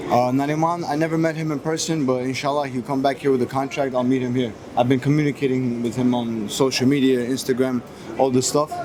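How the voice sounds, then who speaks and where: A man rushes through his words at a very fast pace, his intonation fairly even, while background noise is noticeable. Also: medium pitch for a man. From US (moved from Moscow at six). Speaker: MMA fighter. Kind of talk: press interview. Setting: airport. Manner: halting.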